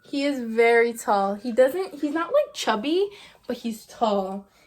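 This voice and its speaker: Animated in tone, a woman speaks at a moderate pace and fairly high pitch with ordinary pitch variation, against noticeable background noise. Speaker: vlogger, young mother. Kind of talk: casual vlog life update.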